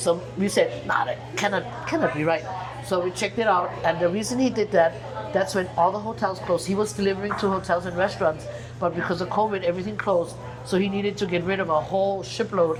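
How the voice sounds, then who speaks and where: A woman with a German accent speaks at a fairly quick pace, with a fairly low pitch and ordinary pitch variation. Audible room echo and music in the background surround her voice. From Germany. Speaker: singer. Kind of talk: casual chat. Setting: restaurant. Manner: halting, repeats words.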